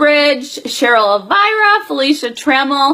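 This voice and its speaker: A woman speaks in a raised, projected voice. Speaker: direct sales team leader. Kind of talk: live stream business update. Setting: Facebook Live video stream. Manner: many filler words.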